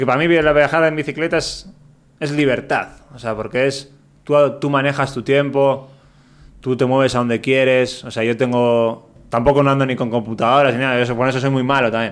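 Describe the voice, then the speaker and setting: This man has an unremarkable speaking voice of medium pitch. He talks at a fairly quick pace with fairly even intonation. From Basque Country, Spain. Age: 30s. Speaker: traveler, touring cyclist. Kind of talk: casual interview.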